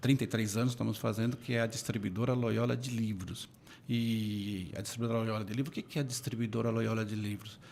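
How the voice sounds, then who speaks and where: This is a plain, everyday voice moving at a fairly quick pace with fairly even intonation. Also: man, medium pitch for a man. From São Paulo, Brazil. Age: 60s. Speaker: book distribution executive. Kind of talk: interview.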